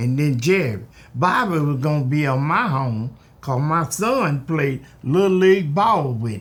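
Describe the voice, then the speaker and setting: Over noticeable background noise, a man speaks at a fairly slow pace with fairly high pitch. His intonation is lively, and his loudness swings widely. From US South. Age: 80s+. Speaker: oral history interviewee. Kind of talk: oral history interview.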